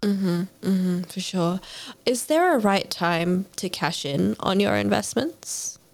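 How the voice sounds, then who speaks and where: Very slowly, a woman with an Australian accent speaks at a medium pitch with ordinary pitch variation. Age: 20s. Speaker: podcast host. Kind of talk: interview conversation.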